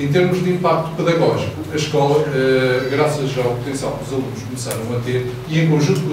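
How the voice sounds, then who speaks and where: Strong room echo with noticeable background noise. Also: man. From Venezuela. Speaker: computer science teacher. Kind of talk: short conference talk. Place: hall.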